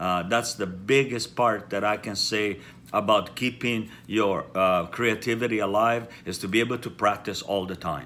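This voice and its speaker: A man with an Italian accent talks at a moderate pace with hardly any pauses, his fairly low, bright, sharp voice keeping fairly even intonation. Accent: Italian, noticeable. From Italy. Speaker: hairdresser and haircare company founder. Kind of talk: casual chat to camera.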